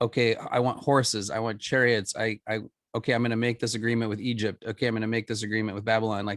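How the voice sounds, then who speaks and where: A man at medium pitch with an American accent, very fast pace and monotone, flat intonation, in a dry, close sound with no echo. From Florida, US. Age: 50s. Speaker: minister. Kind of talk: podcast interview. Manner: halting, many repetitions.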